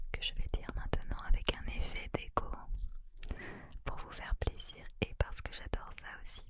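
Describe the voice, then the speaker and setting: The voice is a woman's whisper. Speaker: ASMR creator. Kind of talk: soft whispered ASMR chat. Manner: soft close-mic ASMR murmur. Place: home room. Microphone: studio mic.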